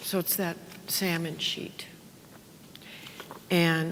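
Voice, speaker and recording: Audible room echo around a woman's fairly low voice. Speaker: parish worship director. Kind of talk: workshop presentation. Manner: loud; casual, filler-heavy.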